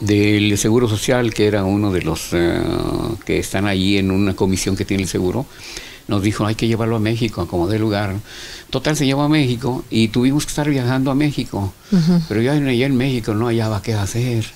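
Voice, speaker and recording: A man talks at a fairly quick pace in a fairly low pitch with ordinary pitch variation, an unremarkable speaking voice. Light background noise sits behind him. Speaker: interview guest, former TV host. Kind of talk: interview answer. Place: studio.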